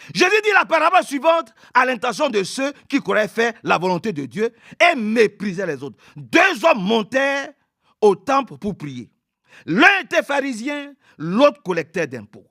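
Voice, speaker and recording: A man projects a raised voice at an extremely high pitch, bright and sharp in tone, with very wide pitch swings and big swings in loudness at a fairly slow pace, in a dry, close sound with no echo. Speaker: preacher. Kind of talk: sermon.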